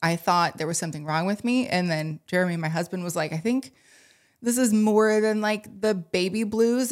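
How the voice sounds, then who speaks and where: A woman speaks in an unremarkable speaking voice at a moderate pace with ordinary pitch variation. The recording is very clean, with a silent background. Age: 30s. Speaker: coach and breathwork teacher. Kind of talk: casual chat.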